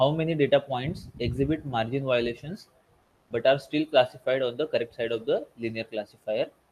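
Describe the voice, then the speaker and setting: This man is soft-spoken and somewhat breathy. His pitch is fairly high. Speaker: teaching assistant. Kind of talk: tutorial. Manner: halting. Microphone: too quiet.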